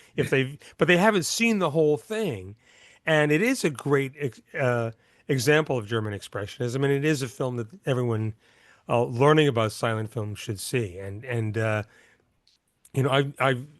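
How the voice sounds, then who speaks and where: Against a quiet background, a man speaks at a moderate pace. His medium-pitched voice has lively intonation. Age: 60s. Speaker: silent film accompanist and author. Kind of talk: interview. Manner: halting, many repetitions.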